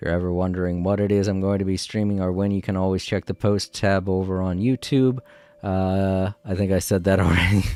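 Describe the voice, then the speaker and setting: The speech comes at a fairly quick pace with monotone, flat intonation. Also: man, very deep, low pitch for a man. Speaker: gaming livestreamer. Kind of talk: casual livestream sign-off. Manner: halting.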